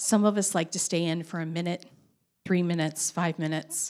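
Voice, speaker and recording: Recorded very cleanly against a silent background, a woman with an ordinary speaking voice talks at a fairly low pitch with ordinary pitch variation. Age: 50s. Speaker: storyteller. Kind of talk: personal story told to an audience.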